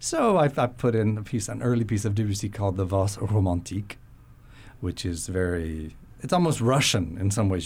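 A man with a fairly low, somewhat breathy voice talks at a moderate pace with ordinary pitch variation. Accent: American. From Florida. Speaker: concert pianist. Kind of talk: radio interview. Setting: studio.

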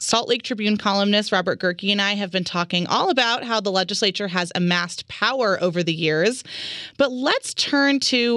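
A loud, bright, sharp woman's voice at medium pitch, moderate in pace with ordinary pitch variation. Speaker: radio host. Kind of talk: radio interview. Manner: loud talker.

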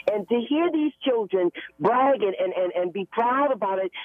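At a moderate pace, a woman with a fairly high pitch speaks with lively intonation. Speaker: caller. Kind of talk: emotional testimony. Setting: phone call. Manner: halting.

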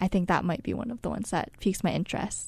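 A woman's voice carries a dark, mellow tone. Her pitch varies in an ordinary way. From Hawaii. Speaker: undergraduate research student. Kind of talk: radio interview.

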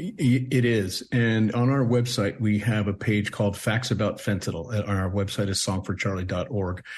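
Against a quiet background, a man speaks at a fairly low pitch. His voice is somewhat breathy, with fairly even intonation. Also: moderate pace, hardly any pauses. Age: 60s. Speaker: bereaved father and nonprofit co-founder. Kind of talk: radio interview. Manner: halting, repeats words.

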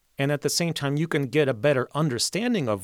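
A man's lively voice with an American accent, dry and close with no echo. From Mexico and US, Polish-born. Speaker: orchestra conductor. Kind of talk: interview.

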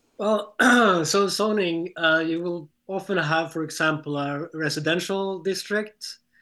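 Against a quiet background, a man with a high, bright, sharp voice talks at a fairly slow pace with fairly even intonation. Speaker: planning nonprofit program director. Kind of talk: panel discussion. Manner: hesitant, frequent fillers.

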